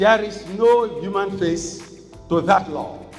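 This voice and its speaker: With music playing behind him, a man speaks in a high voice with a Nigerian accent. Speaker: traditional ruler. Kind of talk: keynote lecture at law conference. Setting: conference hall.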